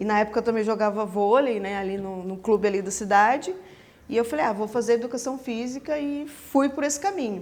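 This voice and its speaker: An unremarkable speaking voice goes at a fairly quick pace, its pitch varying in an ordinary way. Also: woman, fairly high pitch for a woman. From Brazil, São José (São Paulo state). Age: 30s. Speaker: pastry chef, former personal trainer. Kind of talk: podcast interview.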